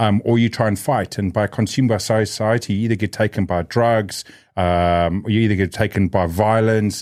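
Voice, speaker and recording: With a strong South African accent, a man talks at a moderate pace with a fairly low pitch and fairly even intonation, on a very clean recording with a silent background. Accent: South African, still strong. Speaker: podcast host. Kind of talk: casual interview chat. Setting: studio.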